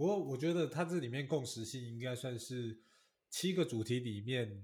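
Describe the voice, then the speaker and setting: A man with a medium pitch speaks fairly slowly in a somewhat breathy voice, with ordinary pitch variation. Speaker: podcast co-host. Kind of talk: casual chat.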